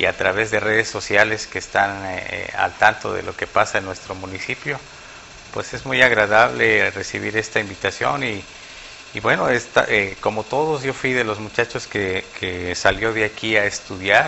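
A plain, everyday voice with ordinary pitch variation speaks at a fairly slow pace over light background noise. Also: man, fairly low pitch for a man. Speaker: guest. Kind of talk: interview answer. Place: studio. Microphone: lapel.

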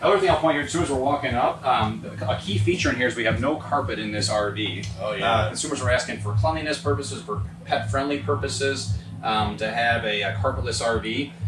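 Clear music plays in the background. Over it, a man with a fairly low pitch and ordinary pitch variation talks at a fairly quick pace. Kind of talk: product walkthrough interview. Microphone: phone near.

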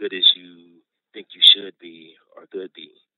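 Moderately paced, the man's speech carries an American accent. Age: 50s. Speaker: prison artist. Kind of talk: interview. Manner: gentle.

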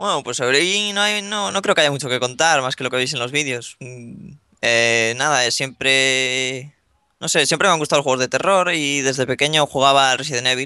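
A man talks at a moderate pace in a medium pitch, with ordinary pitch variation. His tone is bright and sharp over a quiet background. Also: dry sound with no echo. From northern Spain (Ponferrada, León); northern Spain. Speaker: gaming youtuber; gaming youtuber interviewee. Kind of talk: interview. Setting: Skype call. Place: home room. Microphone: video call.

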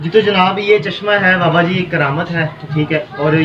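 Noticeable background noise sits behind a man's voice. He talks at a moderate pace with high pitch and fairly even intonation. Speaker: travel vlogger. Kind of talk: casual vlog chat. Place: open country. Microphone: phone near.

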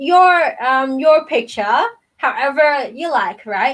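A woman speaks with a high pitch. Behind her, the background is quiet. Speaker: storytime host reading to children. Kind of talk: children's storytime chat. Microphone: webcam.

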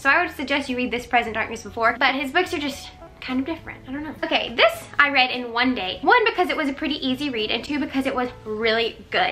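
Speaking very fast in a raised, projected voice, a woman sounds enthusiastic, with ordinary pitch variation. Faint music plays in the background. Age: young. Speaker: book reviewer. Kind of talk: casual talk to camera. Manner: chatty, enthusiastic. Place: home room. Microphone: camera far.

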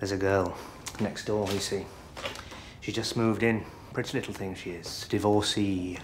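A man's fairly low voice in a flat monotone at a moderate pace, over noticeable background noise. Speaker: actor in a comedy drama. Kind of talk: scripted drama dialogue. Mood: nervous, flustered, hesitant. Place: home room.

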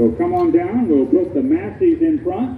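There is audible room echo. Light background noise sits underneath. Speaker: event announcer. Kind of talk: public announcements. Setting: PA system outdoors. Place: open country.

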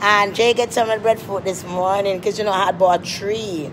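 A woman is speaking. Noticeable background noise can be heard behind her. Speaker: vlogger. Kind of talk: casual vlog chat. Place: train. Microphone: phone near.

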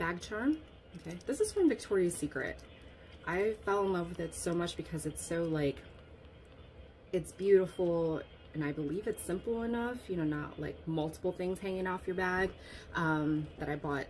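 Light background noise accompanies a somewhat breathy voice at a moderate pace, with ordinary pitch variation and long, frequent pauses. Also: woman. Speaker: fashion vlogger. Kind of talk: casual vlog chat. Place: home room. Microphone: phone near.

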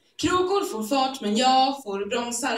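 Audible room echo surrounds this woman as she talks. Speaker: slam poet. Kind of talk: spoken word poetry performance. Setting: live stage, theatre audience. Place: stage. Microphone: camera far.

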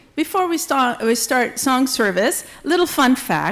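The intonation is lively. Delivery runs at a fairly slow speed. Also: woman. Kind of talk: church announcements. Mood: cheerful, lightly amused. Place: church. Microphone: podium.

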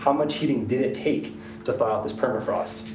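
Clear music plays behind the speaker. He is a man talking at a fairly quick pace. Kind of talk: interview answer. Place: tunnel cave.

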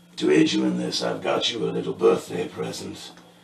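Using a raspy put-on character voice, a man talks at a fairly quick pace with a slight echo and light background noise. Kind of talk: in-character narration. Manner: regal, cold, commanding.

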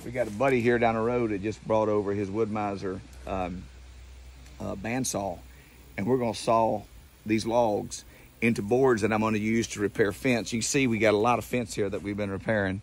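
Dry sound with no echo carries a man's plain, everyday voice at a fairly quick pace. His pitch is fairly low and his intonation fairly even. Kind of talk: casual vlog chat. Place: farm machine. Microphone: phone near.

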